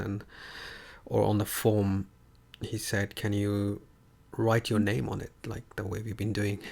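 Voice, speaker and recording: Speaking fairly slowly with long, frequent pauses, a man with an Indian accent uses a fairly low pitch and monotone, flat intonation. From Kenya, Nairobi (Indian family). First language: Hindi. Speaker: online tutor. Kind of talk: casual chat. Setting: livestream.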